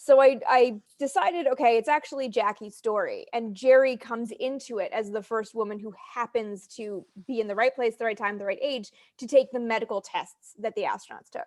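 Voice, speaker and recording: In an unremarkable speaking voice, a woman talks at a fairly quick pace with fairly high pitch, ordinary pitch variation and big swings in loudness, in a very clean recording with a silent background. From Canada. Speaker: spaceflight historian and author. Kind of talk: casual interview.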